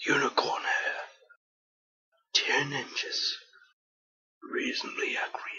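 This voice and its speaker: A put-on character voice whispers at a fairly slow pace. Long, frequent pauses come often. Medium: machinima.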